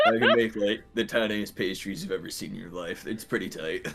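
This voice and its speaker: Someone puts on a low-pitched character voice and speaks at a fairly quick pace. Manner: playful, boastful.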